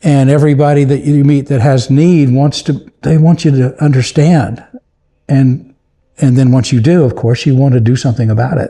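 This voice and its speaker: Somewhat breathy with a dark, mellow tone, a man with an American accent speaks at a moderate pace and fairly high pitch, his loudness very even. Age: 70s. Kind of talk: casual chat.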